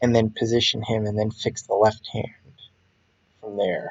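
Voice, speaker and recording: The voice comes across as somewhat breathy. It moves at a fairly slow pace. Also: man. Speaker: comic artist streaming page creation. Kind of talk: casual narration while working.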